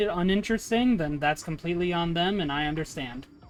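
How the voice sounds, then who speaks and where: Music plays in the background. The speech moves at a very fast pace. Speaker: streamer. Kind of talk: casual chat.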